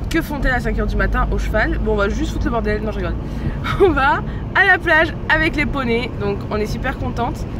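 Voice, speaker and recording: Rather quick speech from a woman amid noticeable background noise. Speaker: horse rider. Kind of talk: casual vlog talk.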